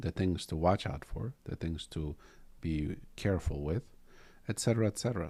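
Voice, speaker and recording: A man with a non-native accent speaks in a very deep, low voice with a dark, mellow tone. His intonation is lively, broken by long, frequent pauses. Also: moderate pace. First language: not English. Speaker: Zen teacher and podcast host. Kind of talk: casual dharma talk in podcast.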